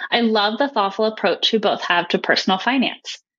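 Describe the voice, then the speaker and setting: This is an unremarkable speaking voice. A woman talks at a fairly quick pace with a fairly high pitch. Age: 30s. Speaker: caller, technical sales. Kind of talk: recorded voicemail question.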